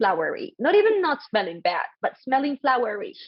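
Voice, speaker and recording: A woman with a Spanish accent talks in an animated tone. She keeps a moderate pace. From Colombia. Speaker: podcast host. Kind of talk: casual chat.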